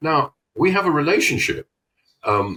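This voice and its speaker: A man talks at a moderate pace with very wide pitch swings and vocal fry, in a dry, close sound with no echo. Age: 70s. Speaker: trade show marketing consultant. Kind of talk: podcast interview.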